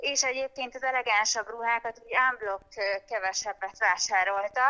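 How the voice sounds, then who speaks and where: A woman with a plain, everyday voice, a fairly high pitch, fairly even intonation, and a moderate pace. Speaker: fashion designer. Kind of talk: interview. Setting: phone call, outdoors on the street. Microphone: phone line.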